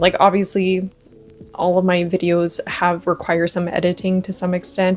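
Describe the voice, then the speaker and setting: Music plays in the background as a woman speaks at a moderate pace. Her medium-pitched delivery is monotone and flat. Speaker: booktuber. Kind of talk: casual vlog talk to camera. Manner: many ums and pauses.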